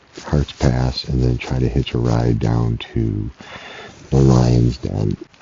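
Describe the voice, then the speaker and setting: A man's very deep, low pitch is heard against noticeable background noise. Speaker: solo thru-hiker vlogger. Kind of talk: video diary. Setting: outdoors at a campsite. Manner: hesitant, many fillers; whispering.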